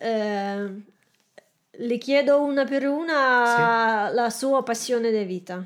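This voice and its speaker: Very slow and broken by long, frequent pauses, a woman's speech sits at a high pitch. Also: ordinary pitch variation. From Belarus. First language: Russian (speaking Italian). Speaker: aspiring entrepreneur. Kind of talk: coaching session. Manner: halting.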